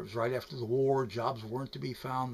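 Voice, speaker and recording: Somewhat breathy, a man talks at a very fast pace. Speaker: storyteller. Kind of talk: personal storytelling to camera. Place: home room. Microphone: webcam.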